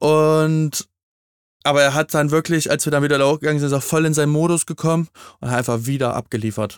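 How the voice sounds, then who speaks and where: A man with a normal speaking voice, fairly high pitch, fairly quick pace and fairly even intonation, in a very clean, silent recording with a dry, close sound and no echo. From eastern Germany. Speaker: podcast co-host. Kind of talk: casual chat.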